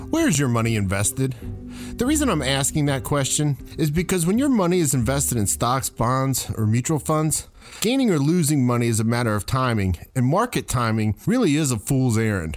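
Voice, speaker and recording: A man talks at a fairly quick pace with lively intonation and a medium pitch. His loudness stays very even. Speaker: radio host and retirement planning specialist. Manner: fear-based rhetorical questions, emphatic and urgent.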